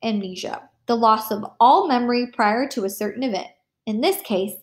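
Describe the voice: Over a quiet background, someone gives a plain reading aloud.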